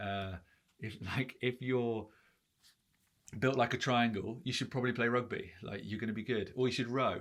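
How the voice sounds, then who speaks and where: Recorded very cleanly with a silent background, a man speaks at a medium pitch with fairly even intonation and long, frequent pauses. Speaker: branding consultant. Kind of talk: tutorial. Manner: fast; casual, filler-heavy.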